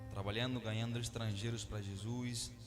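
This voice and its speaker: This man's voice sits at a medium pitch, with monotone, flat intonation and a moderate pace. Room echo is audible, and music plays in the background. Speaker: missionary preacher. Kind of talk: sermon.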